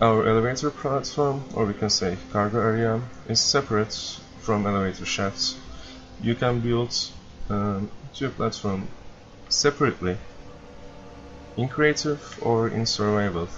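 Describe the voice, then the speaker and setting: A man with a non-native accent speaks at a medium pitch with ordinary pitch variation. He leaves long, frequent pauses. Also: moderate pace. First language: non-native English speaker. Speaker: video game player. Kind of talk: game tutorial walkthrough. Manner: hesitant, many fillers.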